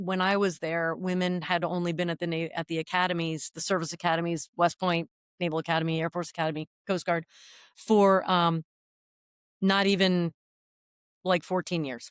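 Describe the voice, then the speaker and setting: A woman's fairly low voice at a moderate pace, with fairly even intonation, long, frequent pauses, and a dry, close sound with no echo. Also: very clean recording, silent background. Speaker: retired navy helicopter pilot. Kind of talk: interview.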